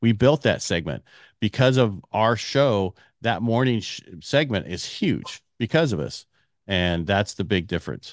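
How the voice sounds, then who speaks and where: Against a quiet background, a man with a fairly low pitch talks fairly slowly with lively intonation, the sound dry and close with no echo. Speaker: mortgage CEO and radio host. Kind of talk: interview conversation. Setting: remote recording via online platform.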